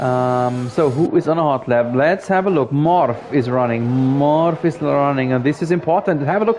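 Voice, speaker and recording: A man with a German accent, fairly slow pace and ordinary pitch variation, over noticeable background noise. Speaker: sim racing commentator. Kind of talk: live commentary. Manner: animated.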